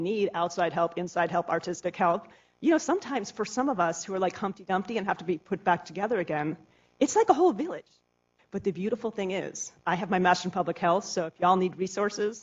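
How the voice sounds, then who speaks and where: A woman speaks at a very fast pace. Her pitch sits in the medium range, with ordinary variation. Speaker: nonprofit theater executive director. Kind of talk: conference talk.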